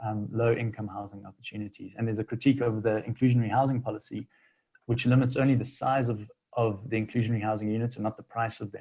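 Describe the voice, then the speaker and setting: A man speaks at a very fast pace in a somewhat breathy voice with fairly even intonation. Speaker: city planning official. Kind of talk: seminar presentation. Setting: video call. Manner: hesitant, many fillers.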